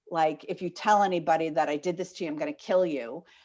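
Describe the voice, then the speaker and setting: A plain, everyday voice comes from a woman with an American accent. She speaks at a fairly low pitch with fairly even intonation. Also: quiet background. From Maine, US. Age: 60s. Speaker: life coach. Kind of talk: interview. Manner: casual, many fillers.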